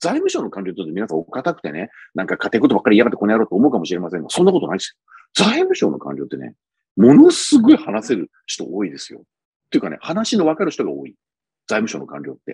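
A man talking at a very fast pace with big swings in loudness, dry sound with no echo and a quiet background. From Japan. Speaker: policy commentator, former bureaucrat; political commentator. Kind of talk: solo commentary monologue. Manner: conversational with many fillers. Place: home room. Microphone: earbuds.

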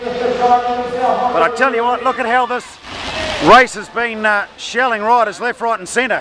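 A man's raised, projected voice at a fairly slow pace, with noticeable background noise. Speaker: track cycling commentator. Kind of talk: live race commentary. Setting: velodrome, race broadcast. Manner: animated, punchy call of sprints. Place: stadium.

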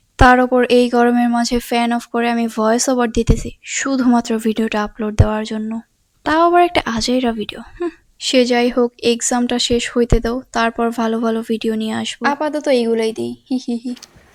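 A woman's high voice carries fairly even intonation. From Bangladesh. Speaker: vlogger. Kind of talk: vlog voice-over. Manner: stuttering in this voice-over; playful, giggling.

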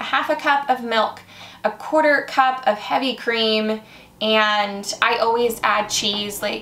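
Very slow in pace, a woman talks with ordinary pitch variation. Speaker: home cook vlogger. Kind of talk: casual cooking tutorial. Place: kitchen. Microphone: camera far.

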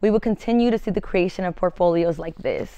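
A woman speaks at a fairly quick pace with fairly even intonation. The sound is dry with no echo, over a quiet background. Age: 20s. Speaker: educator and counseling student. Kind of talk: reading aloud. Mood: earnest, serious. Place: studio. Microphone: lapel.

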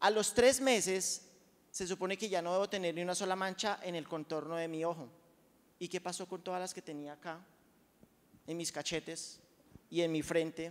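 Using a high pitch and an animated tone, a man speaks with long, frequent pauses. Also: moderate pace. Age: 40s. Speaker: product testimonial speaker at sales event; speaker. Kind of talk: testimony. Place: hall. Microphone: handheld.

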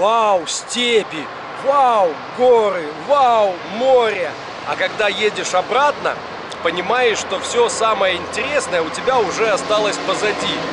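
A man speaks at a very slow pace with long, frequent pauses and ordinary pitch variation. Loud background noise surrounds a dry sound with no echo. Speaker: travel vlogger. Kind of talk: casual vlog chat. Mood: relaxed, reflective. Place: station. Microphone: phone near.

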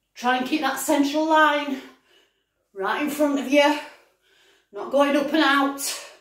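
A woman with a high pitch speaks at a fairly slow pace, with fairly even intonation and long, frequent pauses. The room echo is audible against a quiet background. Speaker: fitness instructor. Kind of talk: live-action workout coaching, shouted countdowns and form cues. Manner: pushing, breathless encouragement. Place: kitchen. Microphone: camera far.

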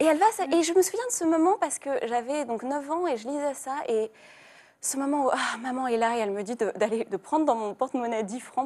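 Dark and mellow in tone, a woman's high voice carries lively intonation. Her delivery rises and falls with energy. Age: 20s. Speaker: young adult novelist; guest. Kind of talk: TV studio interview. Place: studio. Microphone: lapel.

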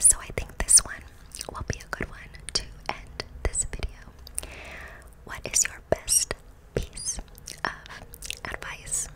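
Long, frequent pauses break up a woman's whispering. Her pace is fairly slow. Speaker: ASMR creator. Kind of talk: soft casual ASMR chat, Q&A answers. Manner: soft, close-mic ASMR speaking. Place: home room. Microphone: studio mic.

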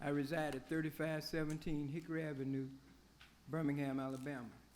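A man's fairly high voice, fairly quick and monotone, with audible room echo. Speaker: public commenter. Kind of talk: public comment at council meeting. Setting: city council chamber. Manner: formal.

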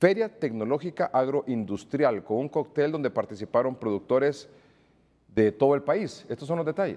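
In an ordinary speaking voice, a man talks at a moderate pace with lively intonation and a fairly high pitch. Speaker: news anchor. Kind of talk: news reading.

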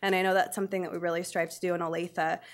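A woman speaks at a very fast pace in a fairly low pitch. Her intonation is monotone and flat against a quiet background. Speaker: teacher presenting. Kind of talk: public presentation. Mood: warm, slightly nervous. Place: meeting room. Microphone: podium.

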